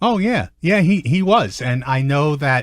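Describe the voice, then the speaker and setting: Lively intonation and a Brooklyn accent come through on a very clean recording with a silent background. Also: man. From Brooklyn, New York. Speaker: sports columnist. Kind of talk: interview answer.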